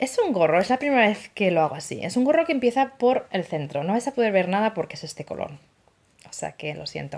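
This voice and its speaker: This woman speaks very fast with an animated tone. Her pitch swings very widely and her loudness rises and falls sharply. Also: medium pitch for a woman. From Spain, Asturias. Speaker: knitting podcaster. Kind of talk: casual monologue. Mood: cheerful, chatty. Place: home room. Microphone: phone near.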